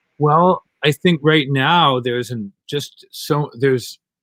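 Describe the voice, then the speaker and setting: The recording is very clean, with a silent background. The voice shows ordinary pitch variation. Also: man. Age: 60s. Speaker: comic artist and activist. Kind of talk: interview. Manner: hesitant, many fillers.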